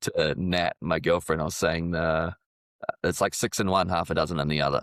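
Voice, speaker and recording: Mumbling at a moderate pace, a man with a New Zealand accent and a very deep, low pitch comes through a dry, close sound with no echo. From New Zealand, Auckland. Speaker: civil engineer and rapper. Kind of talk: casual chat.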